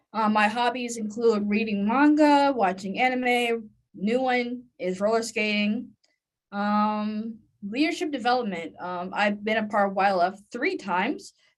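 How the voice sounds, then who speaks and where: A plain, everyday voice from a woman, fairly high in pitch, at a fairly slow pace with ordinary pitch variation. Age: 20s. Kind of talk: panel presentation.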